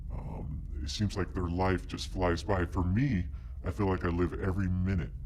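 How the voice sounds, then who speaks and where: Over loud background noise, a man puts on a character voice. His pitch is very deep and low, and his pace is moderate. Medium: short film. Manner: earnest, hesitant, full of ums.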